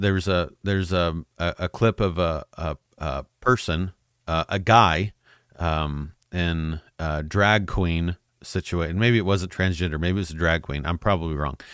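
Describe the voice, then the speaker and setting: On a very clean recording with a silent background, a man with a very deep, low pitch speaks at a fairly slow pace in a dry, close sound with no echo. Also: fairly even intonation. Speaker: podcast host. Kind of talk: casual solo podcast monologue. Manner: halting, filler-heavy.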